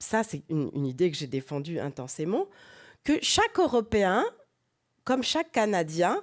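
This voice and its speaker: This woman's medium-pitched voice swings very widely in pitch at a fairly slow pace, broken by long, frequent pauses. The recording is very clean with a silent background. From France. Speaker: professor. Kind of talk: lecture. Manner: halting, many hesitations.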